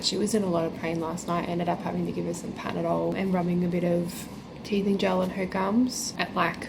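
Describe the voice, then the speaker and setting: Amid noticeable background noise and audible room echo, a woman with an Australian accent speaks at a medium pitch and a very fast pace. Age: 20s. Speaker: vlogger and pastry chef. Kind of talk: casual vlog talk to camera.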